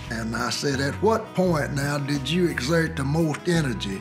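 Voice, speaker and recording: Over clear music in the background, a man with a fairly high voice talks at a moderate pace, his pitch swinging very widely. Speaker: Navy veteran and civil rights witness. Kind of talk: oral history interview. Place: home room.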